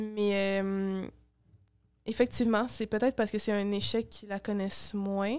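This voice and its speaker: A woman with a Quebec accent at medium pitch, fairly slow pace, monotone and flat intonation, and long, frequent pauses against a quiet background. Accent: Québécois. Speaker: youth political activist; podcast guest. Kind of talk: interview. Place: home room. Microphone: studio mic.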